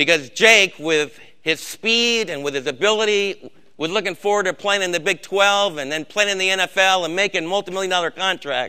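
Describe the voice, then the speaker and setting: Over a quiet background, a man speaks in a raised, projected voice that is high-pitched, bright and sharp, with ordinary pitch variation. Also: moderate pace. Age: old. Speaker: Bible study leader. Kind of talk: sermon. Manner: emphatic.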